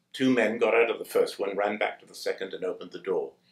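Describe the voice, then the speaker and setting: A man with a British accent. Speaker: war veteran. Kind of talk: testimony.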